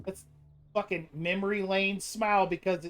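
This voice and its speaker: A woman talks at a moderate pace. Her pitch sits in the medium range. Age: 40s. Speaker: gaming streamer. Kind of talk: live game stream commentary. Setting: live stream. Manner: animated.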